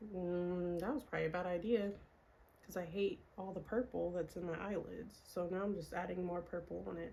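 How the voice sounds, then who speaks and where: Her tone dark and mellow, a woman speaks at a fairly quick pace and a fairly low pitch. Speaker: beauty and lifestyle vlogger. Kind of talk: casual chat. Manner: soft-spoken.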